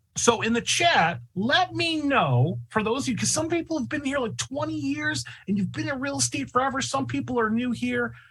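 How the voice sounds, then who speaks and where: Animated in tone, a man talks at a moderate pace with hardly any pauses. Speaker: real estate software trainer. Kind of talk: online training webinar. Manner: loud.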